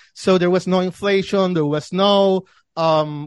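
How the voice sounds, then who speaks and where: With a Spanish accent, a man speaks at a high pitch with ordinary pitch variation. The sound is dry and close with no echo, over a quiet background. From Argentina, Buenos Aires. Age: 30s. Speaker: financial newsletter editor. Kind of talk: interview. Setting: remote call.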